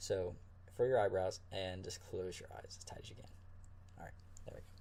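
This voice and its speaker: A man's fairly quick speech swings widely in loudness while noticeable background noise plays behind him. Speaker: ASMR creator. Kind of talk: ASMR medical exam role play. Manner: soft-spoken, calm.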